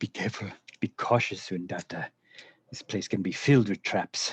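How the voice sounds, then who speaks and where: A man puts on a character voice. He delivers it in a whisper. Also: moderate pace. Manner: whispering, warning.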